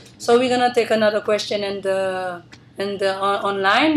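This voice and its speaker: With a non-native accent, a woman speaks at a medium pitch with ordinary pitch variation. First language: not English. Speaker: forum moderator. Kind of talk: moderated forum.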